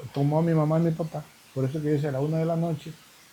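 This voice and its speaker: This man talks in a monotone, with flat intonation. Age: 70s. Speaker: evangelist preacher. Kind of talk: interview. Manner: halting.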